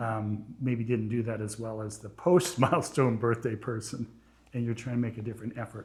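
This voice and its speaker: A man speaks at a moderate pace with a medium pitch and fairly even intonation. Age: 60s. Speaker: podcast host. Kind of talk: interview.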